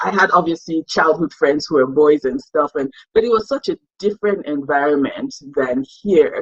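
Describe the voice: A woman speaks with lively intonation and a slightly husky edge.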